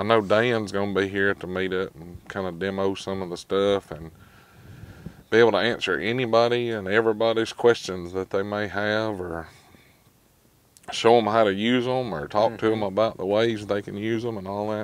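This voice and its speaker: Speaking at a fairly quick pace, a man has a plain, everyday voice, and the sound is dry with no echo. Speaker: tool truck visitor or vlogger. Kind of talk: casual conversation. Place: shop.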